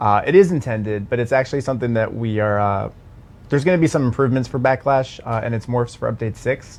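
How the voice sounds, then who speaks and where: A man speaks at a very fast pace in a medium pitch, with a slight Baltimore accent. His pitch varies in an ordinary way. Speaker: game community livestream host. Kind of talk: casual Q&A livestream.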